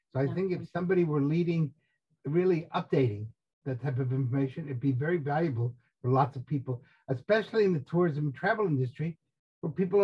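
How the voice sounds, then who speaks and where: Against a quiet background, a man with an American accent talks very fast, fairly high in pitch, somewhat breathy and with lively intonation. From New Jersey. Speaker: tourism expert co-host. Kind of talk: casual chat. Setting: video call. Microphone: video call.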